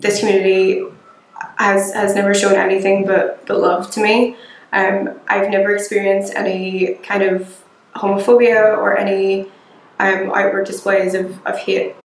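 In a Belfast accent, a woman speaks at medium pitch and moderate pace with monotone, flat intonation and audible room echo. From Northern Ireland, north Belfast. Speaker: local resident, recent graduate; interviewee. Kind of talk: interview testimony. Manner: hesitant with fillers. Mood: calm, reflective. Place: home room.

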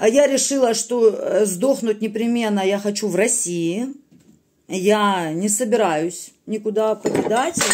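A woman at a very slow pace over light background noise. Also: ordinary pitch variation. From Russia. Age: 30s. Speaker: video blogger; vlogger. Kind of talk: political monologue to camera. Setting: recorded at night at home. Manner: animated. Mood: earnest, emotional political appeal. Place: home room. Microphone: phone near.

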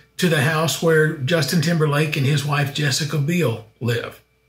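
Audible room echo surrounds a man's voice. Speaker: travel show host. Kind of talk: travel vlog narration. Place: office. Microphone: webcam.

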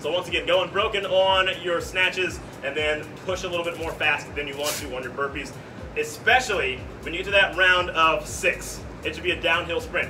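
With music in the background, a high-pitched man speaks at a fairly quick pace with ordinary pitch variation. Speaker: fitness coach. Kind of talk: workout briefing to class. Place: gym. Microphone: camera far.

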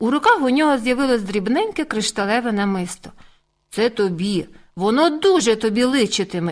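A natural reading voice with lively intonation sounds over a quiet background.

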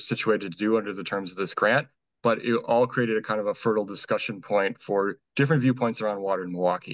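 A man with a fairly low pitch speaks at a fairly quick pace and with fairly even intonation, the sound dry with no echo and the background quiet. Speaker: presenter. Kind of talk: presentation. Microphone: webcam.

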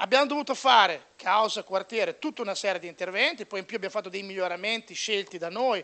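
Raising and projecting his voice, a man speaks at a high pitch with ordinary pitch variation. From Bologna, Italy; Italy. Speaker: sports journalist. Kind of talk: panel debate speech. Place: meeting room. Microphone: handheld.

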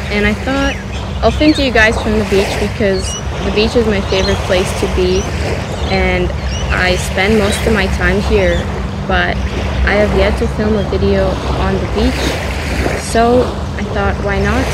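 Loud background noise surrounds a woman who talks at a moderate pace with long, frequent pauses. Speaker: yoga instructor. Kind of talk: casual vlog chat. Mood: relaxed, cheerful. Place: beach.

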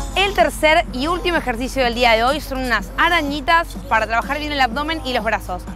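A woman projects a raised voice at a fairly quick pace with ordinary pitch variation, the sound dry with no echo and clear music playing in the background. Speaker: fitness instructor. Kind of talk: tutorial. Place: garden. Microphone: lapel.

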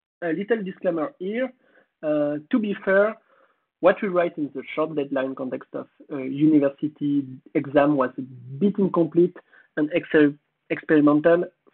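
A man with a French accent, fairly high pitch and ordinary pitch variation, at a moderate pace with long, frequent pauses. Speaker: conference speaker. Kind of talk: conference talk. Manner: halting.

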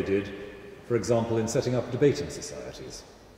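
A man talks at a moderate pace and a fairly low pitch with ordinary pitch variation. Light background noise and audible room echo are present. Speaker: guest. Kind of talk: interview answer. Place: church. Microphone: handheld.

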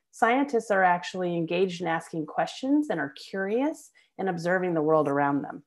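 Over a quiet background, a woman with an American accent speaks at a fairly quick pace with very wide pitch swings. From US South. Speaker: biology professor. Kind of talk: lecture. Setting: video call. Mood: warm, personal storytelling. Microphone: webcam.

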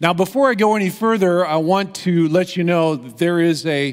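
The voice belongs to a man. Behind him the background stays quiet. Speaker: preacher. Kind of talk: sermon. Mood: humorous, light. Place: church. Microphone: headset.

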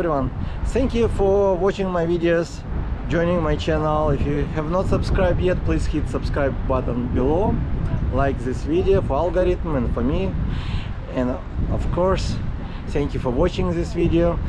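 A man speaks at a moderate pace, pausing long and often, while loud background noise runs underneath. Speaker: e-bike vlogger. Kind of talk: casual vlog chat. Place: beach. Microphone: phone near.

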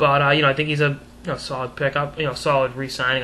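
A man speaks in a monotone, flat delivery over light background noise. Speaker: hockey commentator vlogger. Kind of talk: commentary. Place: home room. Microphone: webcam.

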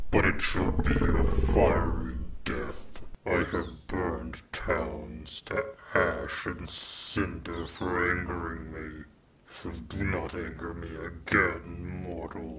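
A man speaks in a put-on character voice with a very deep, low pitch. His pace is very slow. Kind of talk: ASMR roleplay. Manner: possessive, menacing yet tender, regal.

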